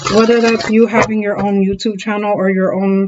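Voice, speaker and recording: A woman speaks at a medium pitch. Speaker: tarot reader. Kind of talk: tarot reading. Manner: fast; animated.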